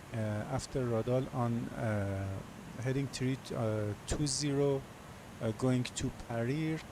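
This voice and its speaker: Very slowly, a man speaks at a medium pitch with fairly even intonation. His loudness stays very even. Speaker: flight simulator streamer. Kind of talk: tutorial. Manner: halting, many fillers.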